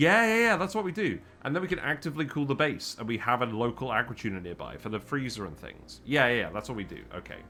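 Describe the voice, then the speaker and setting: A man's medium-pitched voice with a British accent, vocal fry, very wide pitch swings and a very fast pace. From UK. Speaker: gaming streamer. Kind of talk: live game streaming commentary. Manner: thinking aloud, casual.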